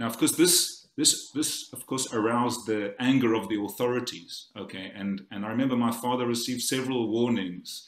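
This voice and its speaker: A man with a South African accent talks with hardly any pauses. His medium-pitched voice keeps a fairly even intonation. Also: moderate pace. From South Africa, Cape Town. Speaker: conference speaker. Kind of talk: conference talk. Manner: halting.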